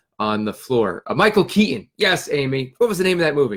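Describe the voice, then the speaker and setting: A man talking fairly quickly with lively intonation. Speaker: fitness and nutrition coach. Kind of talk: live stream talk. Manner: fast.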